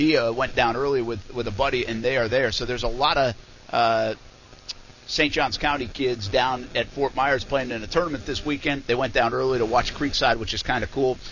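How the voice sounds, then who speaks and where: Fairly quick delivery with fairly even intonation against noticeable background noise. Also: man, medium pitch for a man. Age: 40s. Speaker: sports radio host. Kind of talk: casual chat. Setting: live remote broadcast at hotel event.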